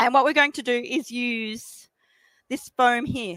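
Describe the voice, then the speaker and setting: A woman speaks in a high voice with an Australian accent and a bright, sharp tone. She sounds animated, with lively intonation. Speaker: embroidery machine demonstrator. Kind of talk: product demonstration. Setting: trade show stage with audience and PA. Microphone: microphone held very close.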